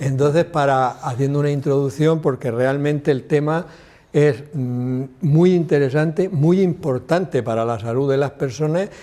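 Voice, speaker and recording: Fairly high in pitch with ordinary variation, a man speaks at a fairly slow pace in a dark, mellow tone. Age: 70s. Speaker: TV health show host. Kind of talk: TV talk show interview.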